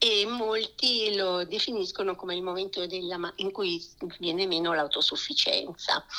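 A woman with a medium pitch is heard through noticeable background noise. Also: ordinary pitch variation, fairly slow pace. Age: 60s. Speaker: website founder. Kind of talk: interview. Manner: halting.

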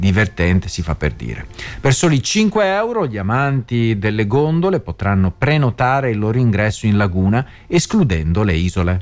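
A man speaks with a Venetian accent at a fairly low pitch. Music plays in the background. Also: lively intonation, moderate pace. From Venice, Veneto. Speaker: radio host. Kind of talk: radio news commentary. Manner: casual with frequent hesitations.

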